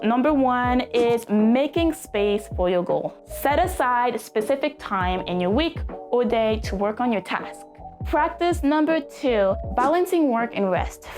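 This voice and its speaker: With music in the background, an upbeat voice in a French accent moves at a fairly slow pace, keeping its loudness very even. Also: woman. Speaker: self-improvement vlogger. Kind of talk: casual talk to camera. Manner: upbeat, motivational.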